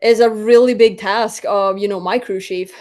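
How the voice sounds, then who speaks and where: Here a woman speaks with a Swedish accent. Her pace is fairly quick. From Sweden. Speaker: drag racer. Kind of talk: interview. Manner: animated.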